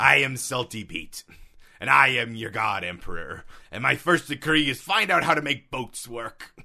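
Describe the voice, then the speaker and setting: This man puts on a character voice. His pitch sits at a medium level. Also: moderate pace. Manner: pompous, proclaiming a decree.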